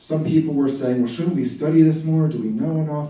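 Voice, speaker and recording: There is noticeable background noise and audible room echo. Over it, a man speaks with an American accent. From Philadelphia area, US. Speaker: environmental activist. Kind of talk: presentation to community group.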